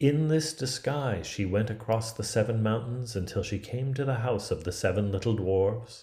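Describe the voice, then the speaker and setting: A man speaks in a somewhat breathy voice. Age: 50s. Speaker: theatre artist. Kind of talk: read fairy tale.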